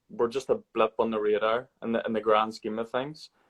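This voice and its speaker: In a strong Irish accent, a man with a medium pitch speaks in a monotone, flat intonation, the sound dry and close with no echo. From Ireland. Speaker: podcast host. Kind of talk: casual book discussion. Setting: live video stream.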